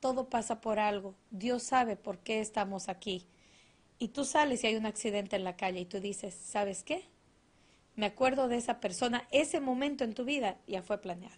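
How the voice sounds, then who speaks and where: Somewhat breathy, a woman with a fairly high pitch speaks at a moderate pace with ordinary pitch variation. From Bolivia, Cochabamba. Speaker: angel therapist and spiritual show host. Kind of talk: spiritual talk and live card readings. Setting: live online broadcast. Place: studio. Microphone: studio mic.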